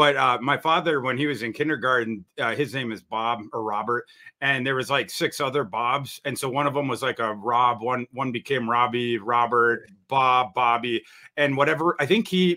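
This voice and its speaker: Speaking at a moderate pace with an American accent, the voice shows ordinary pitch variation. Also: man, medium pitch for a man. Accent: Minnesota accent, noted by others. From northern Minnesota, US (Brainerd). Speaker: NFL draft and college football analyst. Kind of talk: podcast interview. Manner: halting, many fillers and restarts.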